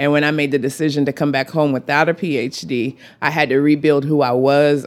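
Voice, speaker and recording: On a very clean recording with a silent background, a woman with an American accent speaks in a very deep, low voice with monotone, flat intonation. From Texas Panhandle, Amarillo. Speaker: college advisor and community activist. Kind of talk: interview conversation. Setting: outdoors on a back porch. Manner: passionate.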